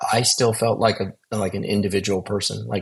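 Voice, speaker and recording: Delivery is somewhat breathy, with fairly even intonation. The pace is moderate. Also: man. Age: 60s. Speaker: near-death experience survivor. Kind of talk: testimony. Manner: halting, many repeated words.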